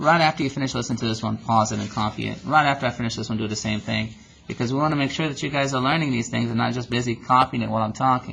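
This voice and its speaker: A man's very fast speech with vocal fry and fairly even intonation. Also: medium pitch for a man, hardly any pauses. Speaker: math teacher. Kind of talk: tutorial.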